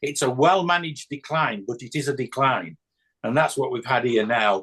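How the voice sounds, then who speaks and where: Lively intonation marks this man's speech, delivered in a British accent at a moderate pace and a medium pitch. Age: 60s. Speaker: church discussion participant. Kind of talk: group discussion on video call. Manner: halting, many repetitions and fillers.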